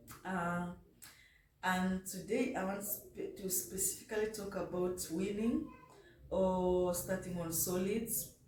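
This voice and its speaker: A woman at medium pitch and a very slow pace, with audible room echo. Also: fairly even intonation. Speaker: vlogger mother. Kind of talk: casual vlog talk. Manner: halting.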